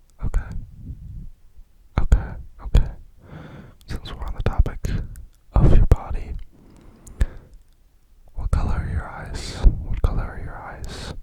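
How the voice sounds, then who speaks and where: Someone whispers at a fairly slow pace with long, frequent pauses. Noticeable background noise is present. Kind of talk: ASMR whisper video.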